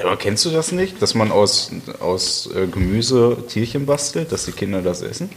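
Noticeable background noise surrounds a man speaking at medium pitch with very wide pitch swings. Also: moderate pace. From Germany, Westphalia (Halle). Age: 20s. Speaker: podcast guest. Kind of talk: casual chat.

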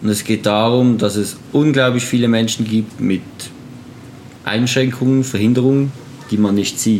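With noticeable background noise behind him, a man speaks at a fairly slow pace and medium pitch, his intonation fairly even. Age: 20s. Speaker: photographer and wheelchair user. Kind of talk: casual interview.

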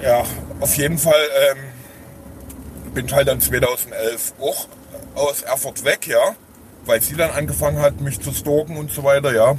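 A man talks at a very slow pace while noticeable background noise sits behind him. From Saxony, Dresden area. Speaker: formerly homeless man. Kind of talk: interview. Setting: in a car. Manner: halting.

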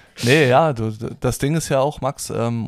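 In an unremarkable speaking voice, the man talks at a medium pitch with ordinary pitch variation. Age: 20s. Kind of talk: casual chat. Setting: studio, sitting opposite co-host.

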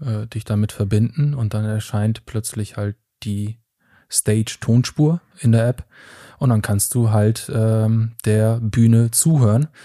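On a very clean recording with a silent background and a dry, close sound with no echo, a man speaks very slowly at a medium pitch, with fairly even intonation and a dark, mellow tone. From Germany. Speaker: product manager. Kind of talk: casual chat.

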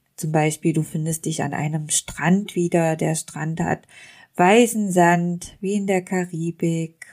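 A woman speaks at a very slow pace in a fairly low pitch, her tone calm and soothing and her intonation fairly even. The recording is very clean, with a silent background. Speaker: hypnotist and podcast host. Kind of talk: guided imagery / dream journey narration. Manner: calm, slow, soothing, descriptive.

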